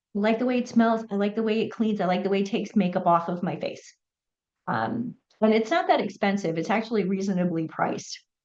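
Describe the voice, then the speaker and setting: A woman with an American accent talks at a very fast pace, using a medium pitch and ordinary pitch variation. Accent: New York accent, occasional. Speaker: menopause coach and show host. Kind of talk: health tips talk to camera. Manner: halting, many fillers.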